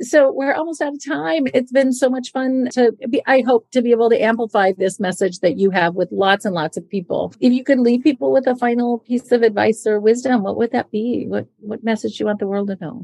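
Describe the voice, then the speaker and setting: Fairly high-pitched with a dark, mellow tone, a woman talks at a fairly quick pace with lively intonation and hardly any pauses. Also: dry, close sound with no echo. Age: 50s. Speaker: podcast host and investor. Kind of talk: scripted intro; interview.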